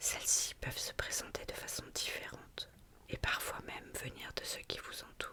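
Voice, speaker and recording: Whispering at a fairly slow pace, a woman is heard through noticeable background noise. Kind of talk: ASMR whispered reading of symbolism notes. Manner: whispered, soft.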